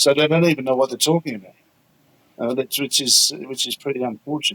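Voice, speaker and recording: A man at a very fast pace and fairly high pitch, with fairly even intonation, in a dry, close sound with no echo. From England. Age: 80s+. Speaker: elephant park founder. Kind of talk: interview. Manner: halting, frequent repetitions.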